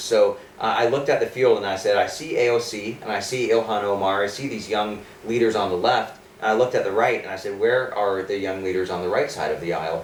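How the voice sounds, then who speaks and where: With an American accent, a man with a fairly low pitch talks at a fairly quick pace with ordinary pitch variation, amid noticeable background noise and audible room echo. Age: 20s. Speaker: political candidate. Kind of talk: interview. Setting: studio.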